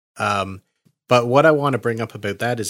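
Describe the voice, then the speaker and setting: With a Nova Scotian accent, a man talks at a moderate pace in a very clean recording with a silent background. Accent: Nova Scotian Canadian English. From Nova Scotia, Canada. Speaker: podcast host. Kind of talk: casual chat.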